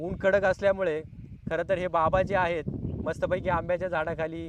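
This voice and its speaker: A man speaks at a high pitch. Background noise is noticeable. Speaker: village life interviewer. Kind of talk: casual talk to camera.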